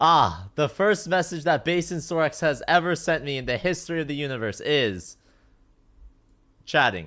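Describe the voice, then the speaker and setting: A loud man's voice, fairly high in pitch and bright and sharp, with vocal fry, lively intonation and a moderate pace. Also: very clean recording, silent background. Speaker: streamer and osu mapper. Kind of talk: casual chat.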